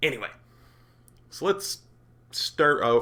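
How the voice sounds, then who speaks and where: This is a man speaking. His voice carries vocal fry. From Canada, Alberta. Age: 40s. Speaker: gaming YouTuber and streamer. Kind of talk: casual talk to camera. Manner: upbeat.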